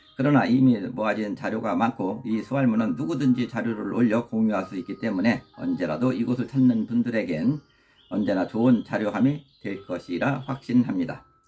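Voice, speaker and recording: A man's ordinary speaking voice at medium pitch, with ordinary pitch variation. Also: moderate pace. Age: 60s. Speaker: YouTuber and community group leader. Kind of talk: scripted narration. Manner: formal.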